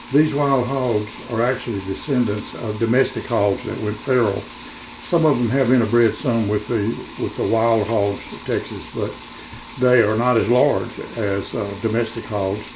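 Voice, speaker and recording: At a fairly slow pace, a man speaks with a medium pitch and fairly even intonation, with noticeable background noise and audible room echo. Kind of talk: casual vlog. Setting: home kitchen.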